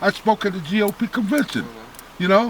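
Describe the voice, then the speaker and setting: Over noticeable background noise, a man with a high pitch speaks in an animated tone. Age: 70s. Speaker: volunteer ambulance corps commander. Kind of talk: interview.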